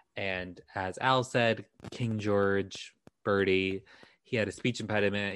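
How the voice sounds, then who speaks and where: A man with a plain, everyday voice speaks at a fairly low pitch with fairly even intonation against a quiet background. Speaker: podcast co-host, documentary worker. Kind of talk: casual chat, history storytelling.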